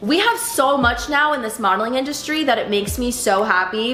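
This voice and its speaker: A woman with an American accent speaks at a moderate pace, with audible room echo and noticeable background noise. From Pennsylvania, Philadelphia suburbs. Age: 20s. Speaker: fashion model and vlogger. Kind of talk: casual vlog talk to camera. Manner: casual with many fillers.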